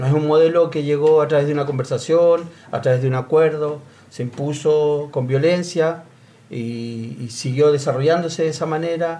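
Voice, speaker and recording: The voice is an unremarkable speaking voice. It moves at a moderate pace with fairly even intonation. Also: man, fairly high pitch for a man. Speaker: sports club leader. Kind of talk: panel discussion.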